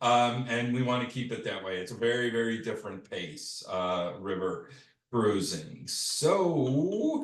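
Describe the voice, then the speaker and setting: A man with a Chicago accent speaks at a fairly slow pace. There is audible room echo. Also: medium pitch for a man, lively intonation. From US Midwest, Chicago. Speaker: travel company sales manager. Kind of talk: online presentation. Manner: casual, many fillers.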